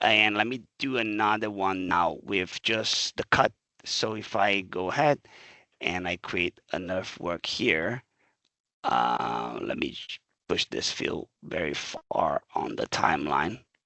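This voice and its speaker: A man speaks at a very slow pace with vocal fry, his pitch swinging very widely. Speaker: software product trainer. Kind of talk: tutorial. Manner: casual, with fillers and self-corrections.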